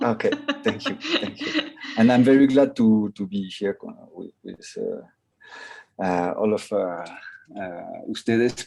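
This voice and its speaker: The speaker has a French accent and talks at a very slow pace. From France. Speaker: filmmaker. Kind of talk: video call panel chat. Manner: halting.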